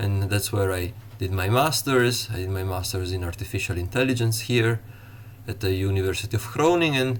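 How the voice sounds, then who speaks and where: A man with an Italian accent speaks at a fairly quick pace and fairly low pitch. His voice is somewhat breathy, with ordinary pitch variation. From Italy. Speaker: university lecturer. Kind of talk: lecture. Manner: halting, many fillers.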